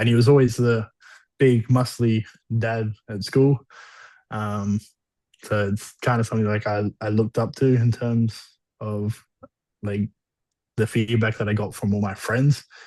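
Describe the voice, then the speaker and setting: A man speaks with an Australian accent in a dark, mellow tone, at a fairly slow pace with long, frequent pauses. His intonation is monotone and flat, over a quiet background. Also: medium pitch for a man. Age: 20s. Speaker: bodybuilder. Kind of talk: interview.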